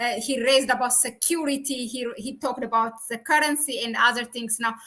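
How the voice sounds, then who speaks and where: Bright and sharp in tone, a woman with a non-native accent speaks at a moderate pace in a high pitch with ordinary pitch variation. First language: not English. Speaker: YouTube channel host, researcher. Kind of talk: live-streamed interview. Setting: live stream.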